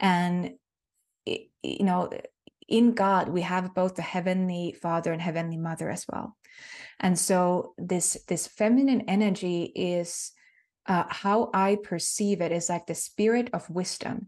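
Against a quiet background, a woman with a Finnish accent speaks at a fairly slow pace in a warm tone and a medium pitch. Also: fairly even intonation. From Finland. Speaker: spiritual healer and mentor. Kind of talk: interview conversation about spirituality. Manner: warm, reflective, hesitant with fillers.

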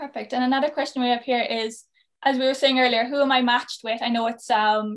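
A woman's high voice in a Cork accent, at a fairly quick pace with monotone, flat intonation. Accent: Cork Irish. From Ireland, Cork. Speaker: podcast co-host and youth mentor. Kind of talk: podcast interview.

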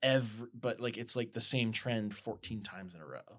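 Speaking in a plain, everyday voice, a man keeps a medium pitch with ordinary pitch variation. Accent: American. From US Midwest (Colorado, rural Nebraska). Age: 30s. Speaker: photographer and podcast host. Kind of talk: casual chat.

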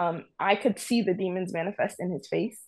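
A woman's fairly low voice with an American accent, at a fairly quick pace with ordinary pitch variation. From New York. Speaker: caller. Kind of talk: casual call-in conversation. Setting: video call. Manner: hesitant, apologetic.

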